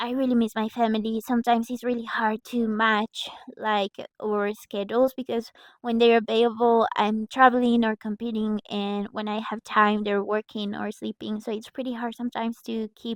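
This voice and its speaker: The speaker has a Mexican accent and talks at a moderate pace in a monotone, flat way. The sound is dry and close, with no echo. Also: woman, fairly high pitch for a woman. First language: Spanish. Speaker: breakdancer. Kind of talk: motivational vlog talk. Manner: halting.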